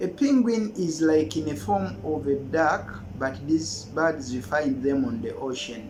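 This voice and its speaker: A man's fairly high voice at a fairly slow pace, very wide pitch swings, hardly any pauses, and noticeable background noise. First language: Luganda. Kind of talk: casual language exchange tutorial.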